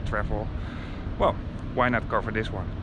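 The man talks fairly quickly in a dry sound with no echo, though noticeable background noise is present. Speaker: travel vlogger. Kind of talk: casual vlog chat. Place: waterside. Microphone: phone near.

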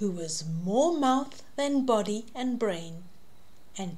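A somewhat breathy woman's voice with lively intonation. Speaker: storyteller reading to a child. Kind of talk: children's story read-aloud. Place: home room. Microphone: webcam.

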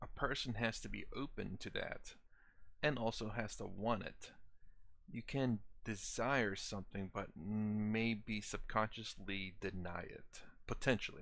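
A man speaks with long, frequent pauses and ordinary pitch variation. The sound is dry with no echo. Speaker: reaction video host. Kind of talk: casual reaction commentary. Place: home room.

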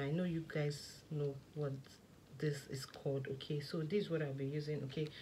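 Light background noise sits behind a woman with a very deep, low pitch and ordinary pitch variation. She sounds somewhat breathy and talks at a moderate pace. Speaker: skincare maker and vlogger. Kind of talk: tutorial. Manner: soft-spoken. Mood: enthusiastic. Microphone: phone near.

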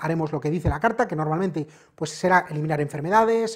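Fairly quick delivery with ordinary pitch variation over a quiet background. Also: man. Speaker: presenter. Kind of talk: review and tutorial. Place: shop. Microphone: lapel.

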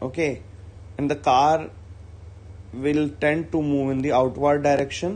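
A man speaks with an Indian accent at a fairly slow pace. He leaves long, frequent pauses. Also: ordinary pitch variation. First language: Hindi. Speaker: school physics teacher. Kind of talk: online class lecture. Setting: online video lecture. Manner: hesitant, frequent fillers.

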